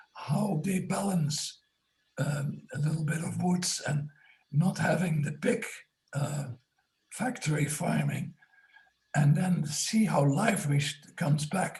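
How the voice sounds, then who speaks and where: Using a fairly high pitch with vocal fry, a man talks at a very slow pace with long, frequent pauses. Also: ordinary pitch variation. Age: 90s. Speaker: retired biodynamic food advocate. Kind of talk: casual comment in group discussion. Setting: video call. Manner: halting.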